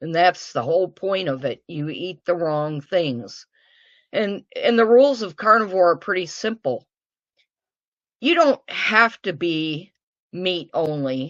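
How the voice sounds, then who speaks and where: At a fairly slow pace, a woman with an American accent speaks in an ordinary speaking voice, with a fairly low pitch and lively intonation. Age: 60s. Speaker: guest sharing diet success story. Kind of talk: interview testimony.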